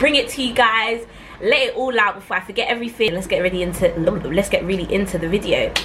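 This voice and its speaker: A woman with a London accent talks at a very fast pace and a fairly high pitch, with ordinary pitch variation and noticeable background noise. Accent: London multicultural English. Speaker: YouTuber. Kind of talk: storytime vlog. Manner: animated.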